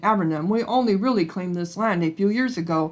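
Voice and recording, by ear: A natural voice reads the text. It is read aloud.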